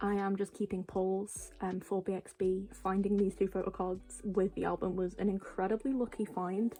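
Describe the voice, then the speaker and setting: Soft-spoken, with a dark, mellow tone, a woman talks at a moderate pace and medium pitch in a monotone, flat delivery with hardly any pauses. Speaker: K-pop collector vlogger. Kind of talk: casual chat. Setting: home at night. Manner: hesitant, many fillers.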